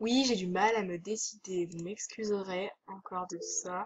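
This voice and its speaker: The pitch is medium. The speaker is a woman. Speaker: video game youtuber. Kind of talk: gameplay commentary. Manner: hesitant.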